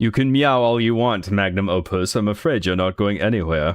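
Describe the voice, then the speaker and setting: Putting on a character voice in a British accent, a man speaks at a fairly quick pace. His pitch sits fairly low. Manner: menacing, evil.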